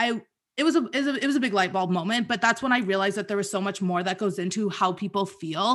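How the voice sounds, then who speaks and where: A woman talks at a very fast pace in a medium pitch, with ordinary pitch variation over a quiet background. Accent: Canadian. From Canada, small town. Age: 20s. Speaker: confidence and sex coach. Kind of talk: casual interview chat.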